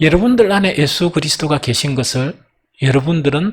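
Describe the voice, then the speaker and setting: Speaking with a Gyeongsang accent, a man uses lively intonation and a fairly high pitch at a moderate pace. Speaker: pastor. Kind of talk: sermon. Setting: church. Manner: animated.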